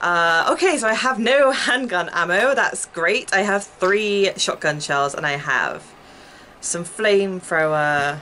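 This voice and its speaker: A woman speaks at a very slow pace with very wide pitch swings. There is light background noise. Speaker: gaming streamer. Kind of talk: casual gameplay commentary. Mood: chatty, a bit flustered. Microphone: headset.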